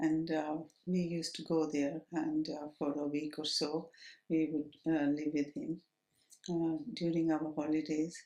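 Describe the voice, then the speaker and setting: A woman's very deep, low pitch and dark, mellow tone, flat and monotone in intonation, at a fairly slow pace. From Kenya, Nairobi. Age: 70s. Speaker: oral history interviewee. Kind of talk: oral history interview. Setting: at home. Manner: halting, many fillers.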